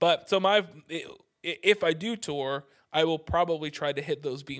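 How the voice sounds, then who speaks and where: A man's ordinary speaking voice at a moderate pace, with ordinary pitch variation and a quiet background. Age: 30s. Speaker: podcast host and musician. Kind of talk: casual chat.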